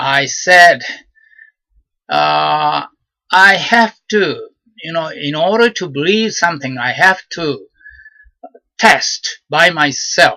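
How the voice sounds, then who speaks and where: A man with a Japanese accent speaks at a very slow pace. He leaves long, frequent pauses. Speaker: vlogger. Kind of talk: personal monologue. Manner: halting, many fillers.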